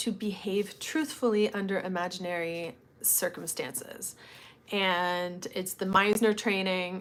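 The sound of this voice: A woman's medium-pitched voice with a slight Canadian accent. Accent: Canadian, mild.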